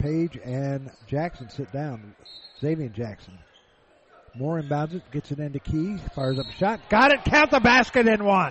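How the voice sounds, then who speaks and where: Pitch swinging very widely, with noticeable noise in the background. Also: man, fairly high pitch for a man. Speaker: radio play-by-play announcer. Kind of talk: rapid-fire live basketball play-by-play radio commentary. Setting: courtside at a college gym. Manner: fast, clipped staccato calls tracking every pass; rising excitement on made shots, punchy exclamations.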